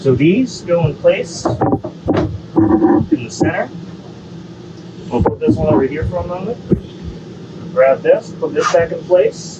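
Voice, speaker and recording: The speech is very slow, with long, frequent pauses. Noticeable background noise runs underneath. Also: man. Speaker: RV dealership product demonstrator. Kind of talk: product walkthrough demonstration. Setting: inside an RV cabin. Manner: loud.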